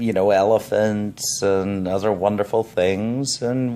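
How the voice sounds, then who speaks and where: Speaking at a fairly slow pace, a man uses a fairly low pitch and fairly even intonation. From England, raised in Zambia, Canada and Illinois. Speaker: professional giving a self-introduction. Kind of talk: personal self-introduction. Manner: hesitant, many fillers and repetitions.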